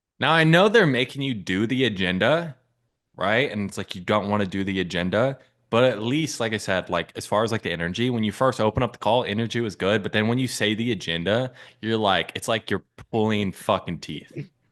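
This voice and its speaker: A man with an ordinary speaking voice talks at a fairly quick pace. His pitch is fairly low, with ordinary pitch variation. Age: 20s. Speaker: sales coach. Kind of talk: coaching session reviewing a sales call recording.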